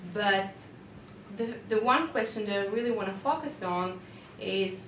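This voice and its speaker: Audible room echo and noticeable background noise surround a woman speaking at medium pitch. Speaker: teacher. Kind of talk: reflective presentation. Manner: halting.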